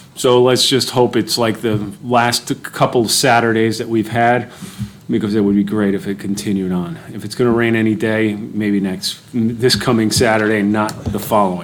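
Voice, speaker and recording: The speech goes at a moderate pace against noticeable background noise. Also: man, fairly low pitch for a man. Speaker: township official. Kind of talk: public meeting report.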